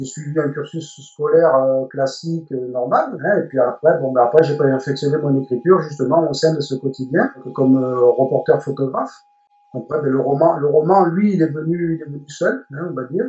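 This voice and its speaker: The speaker is a man with a fairly high pitch. He keeps a moderate pace with ordinary pitch variation. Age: 60s. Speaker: retired journalist and novelist, reality show candidate. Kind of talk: interview. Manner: hesitant, many fillers and repetitions.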